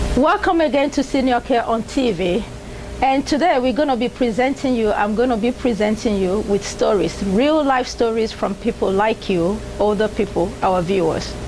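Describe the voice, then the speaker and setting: Music in the background under a woman's fairly high voice, lively in intonation, at a moderate pace and very even loudness. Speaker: TV show host. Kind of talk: TV program introduction.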